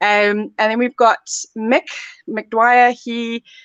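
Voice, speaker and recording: The voice has a South African accent and fairly even intonation, recorded dry and close with no echo. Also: woman. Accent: South African, noticeable. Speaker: sports therapy lecturer. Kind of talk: live Q&A.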